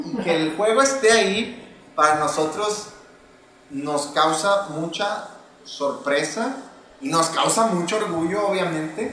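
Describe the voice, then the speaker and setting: A man's high-pitched voice with lively intonation at a very slow pace, amid noticeable background noise and audible room echo. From Mexico, Monterrey. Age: 30s. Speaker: board game creator. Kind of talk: casual chat.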